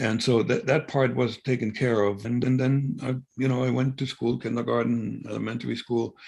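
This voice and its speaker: This man has a German accent and a medium-pitched voice. His intonation stays fairly even. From East Germany. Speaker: former spy. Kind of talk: interview. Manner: halting.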